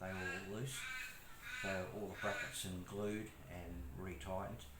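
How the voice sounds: The voice moves at a moderate pace with ordinary pitch variation, and room echo is audible. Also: man.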